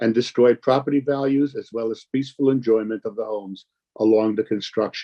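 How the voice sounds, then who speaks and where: The man's dark, mellow tone comes through in a dry, close sound with no echo. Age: 70s. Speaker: community activist. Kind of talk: public testimony. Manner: formal.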